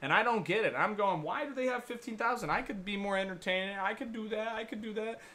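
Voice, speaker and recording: Amid noticeable background noise, a man with a high pitch projects a raised voice in an animated tone, talking very fast with hardly any pauses and ordinary pitch variation. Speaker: baseball streamer doing play-by-play. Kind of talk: live play-by-play commentary with chat. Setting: home live stream from his room. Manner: casual, animated.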